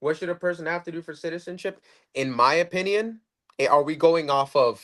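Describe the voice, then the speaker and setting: This voice moves at a fairly quick pace, with ordinary pitch variation and big swings in loudness. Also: man, high pitch for a man, quiet background. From Puerto Rico, then US mainland. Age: 20s. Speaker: libertarian debate guest. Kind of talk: casual political debate. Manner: animated, repetitive, swears often.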